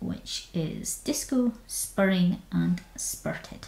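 A woman speaks with a Scottish accent. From Scotland. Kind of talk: casual talk while screen recording.

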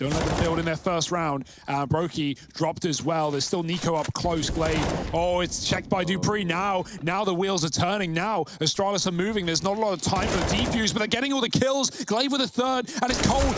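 A man speaks at a fairly quick pace in a high pitch, with lively intonation, very even loudness and hardly any pauses, over noticeable background noise. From London. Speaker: esports commentator. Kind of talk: live commentary. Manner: fast.

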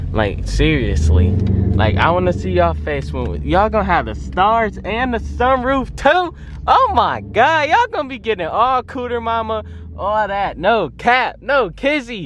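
Noticeable background noise runs behind the speech. A man talks at a moderate pace. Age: 20s. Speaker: car vlogger. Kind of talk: casual vlog. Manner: animated.

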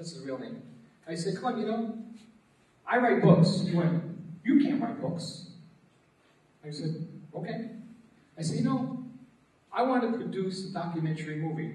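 Over noticeable background noise, a man with a high pitch and lively intonation talks at a moderate pace, leaving long, frequent pauses. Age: 40s. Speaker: martial arts teacher and anti-bullying speaker. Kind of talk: motivational presentation. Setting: stage with audience.

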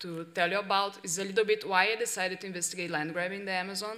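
A woman speaks with a Portuguese accent. Her pitch variation is ordinary. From Brazil. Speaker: investigative journalist. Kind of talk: workshop presentation. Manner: halting. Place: hall. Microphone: podium.

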